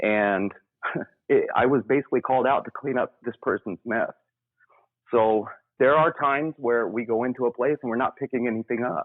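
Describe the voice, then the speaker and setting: A man with an unremarkable speaking voice talks in an American accent at medium pitch. He moves at a fairly quick pace with ordinary pitch variation. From US South, Memphis, Tennessee. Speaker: paranormal investigator. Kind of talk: interview.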